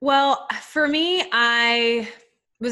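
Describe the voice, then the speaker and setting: A woman with a Southern US accent speaks in a bright, sharp tone with ordinary pitch variation. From US South, Nashville, Tennessee. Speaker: life and business coach. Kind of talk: podcast interview.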